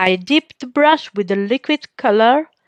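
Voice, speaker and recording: In a non-native accent, a woman speaks at a very slow pace with fairly high pitch and ordinary pitch variation. The sound is dry and close, with no echo. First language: not English. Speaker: painter. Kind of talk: tutorial. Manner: halting.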